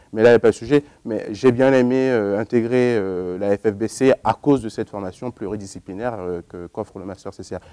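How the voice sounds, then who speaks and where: With a dark, mellow tone and fairly low pitch, a man speaks at a fairly quick pace with hardly any pauses and big swings in loudness, in a dry, close sound with no echo. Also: fairly even intonation. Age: 20s. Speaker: accountant, former student. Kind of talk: interview. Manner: hesitant, many fillers.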